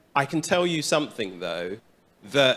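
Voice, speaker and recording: A bright, sharp voice with a British accent and lively intonation, in a very clean recording against a silent background. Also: man. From London, England. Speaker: bank executive. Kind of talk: panel remarks.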